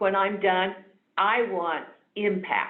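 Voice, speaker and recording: There is audible room echo as a woman talks at a very slow pace. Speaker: webinar presenter. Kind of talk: webinar talk. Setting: online webinar.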